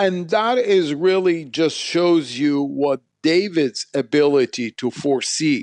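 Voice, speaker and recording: A man with an Arabic accent talks at a very slow pace with lively intonation. The sound is dry and close with no echo, over a quiet background. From Iraq, Baghdad. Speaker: history professor and author. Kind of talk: interview.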